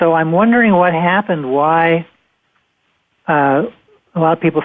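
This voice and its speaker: A man with an American accent, fairly high pitch, ordinary pitch variation and a moderate pace. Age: 60s. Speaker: radio host. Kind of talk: radio interview. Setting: internet talk radio. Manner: halting.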